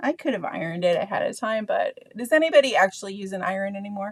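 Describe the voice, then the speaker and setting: The sound is dry and close, with no echo. A woman speaks at a medium pitch. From Canada. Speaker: art teacher. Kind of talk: tutorial. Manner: casual, hesitant with frequent fillers.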